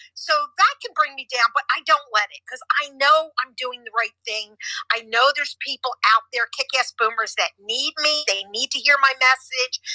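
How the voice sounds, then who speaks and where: The voice is raised and projected, moving at a moderate pace with ordinary pitch variation and big swings in loudness. The sound is dry and close, with no echo. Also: woman, high pitch for a woman. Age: 70s. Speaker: real estate agent and podcaster. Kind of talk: casual chat. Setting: audio chat app room.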